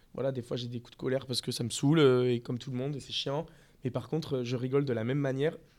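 A man delivers flat, monotone speech at medium pitch and a very fast pace. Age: 30s. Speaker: restaurant owner. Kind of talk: interview. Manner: hesitant.

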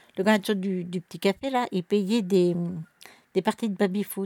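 Dry and close with no echo, a woman's voice moves at a moderate pace. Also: very clean recording, silent background. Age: 60s. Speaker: traveller family elder. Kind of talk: casual chat. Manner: animated.

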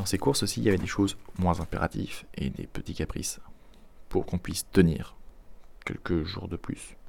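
A man with a very deep, low voice speaks at a moderate pace with vocal fry, leaving long, frequent pauses. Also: ordinary pitch variation. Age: 20s. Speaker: podcast host. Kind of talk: casual language lesson. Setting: at home.

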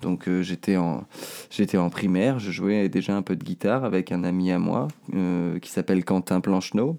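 A man with a very deep, low pitch and a dark, mellow tone. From France, Isère (Seyssinet near Grenoble). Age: 20s. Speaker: singer-songwriter. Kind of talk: interview answering children's questions. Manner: hesitant, many fillers and repetitions.

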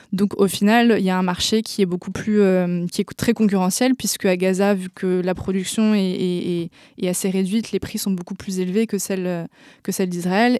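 This woman's voice has a dark, mellow tone and a medium pitch, delivered in a flat monotone. She talks at a moderate pace over a very clean recording with a silent background. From France. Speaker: activist. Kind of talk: interview. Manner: halting, many hesitations.

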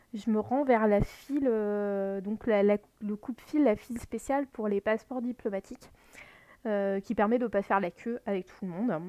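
A woman's fairly high voice with a dark, mellow tone, moderate pace, ordinary pitch variation and big swings in loudness, dry and close with no echo. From France, Lorraine. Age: 30s. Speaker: podcast host. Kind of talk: personal storytelling monologue. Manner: halting, many fillers.

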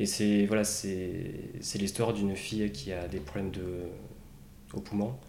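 Through audible room echo, a man's dark, mellow tone moves at a fairly slow pace with ordinary pitch variation and long, frequent pauses. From Basque Country, France. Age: 30s. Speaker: bereaved brother, quality manager. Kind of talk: personal testimony interview. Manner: hesitant, many fillers.

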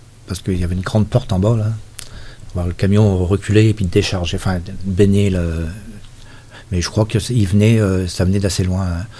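Fairly even intonation amid noticeable background noise. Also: man. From Brittany, Finistère. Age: 60s. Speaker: former mill laborer. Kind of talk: oral history interview. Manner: halting.

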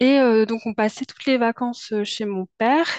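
A woman with a fairly high pitch talks at a fairly slow pace and with fairly even intonation. The sound is dry and close with no echo, and the background is quiet. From Paris suburbs, France. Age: 30s. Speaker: podcast guest, testimony. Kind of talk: personal testimony. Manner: hesitant, many fillers.

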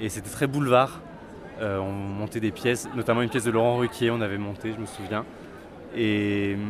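A man with a medium-pitched voice speaks with fairly even intonation in a plain, everyday voice. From France, Auvergne (Vichy). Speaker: theatre critic youtuber. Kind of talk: interview.

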